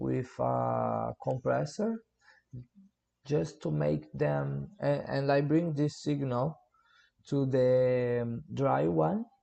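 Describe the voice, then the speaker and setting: Speaking in a Portuguese accent, a man goes at a very slow pace. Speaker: music producer. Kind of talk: tutorial. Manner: halting.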